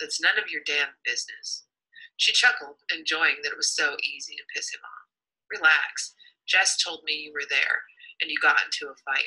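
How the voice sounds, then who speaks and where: There are big swings in loudness as a woman speaks. She keeps a moderate pace. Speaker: writer reading own work. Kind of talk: reading aloud. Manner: halting.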